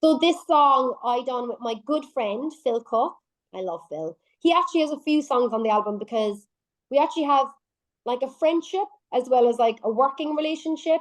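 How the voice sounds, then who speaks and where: A woman with an Irish accent speaks at a high pitch and a moderate pace, her tone animated and her intonation lively. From Ireland. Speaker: singer-songwriter. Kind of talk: radio interview.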